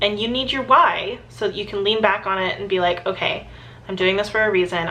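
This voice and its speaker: A woman speaks at a medium pitch with a bright, sharp tone, ordinary pitch variation and vocal fry. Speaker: former teacher, video blogger. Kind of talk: casual advice vlog.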